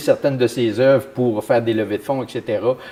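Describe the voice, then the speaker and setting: Delivered at a fairly quick pace, this is an ordinary speaking voice. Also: man. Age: 60s. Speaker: municipal councillor. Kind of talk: interview.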